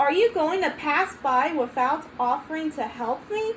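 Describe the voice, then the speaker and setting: At a moderate pace, a put-on character voice plays out over clear background noise. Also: woman, high pitch for a woman. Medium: read story. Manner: grumpy, demanding.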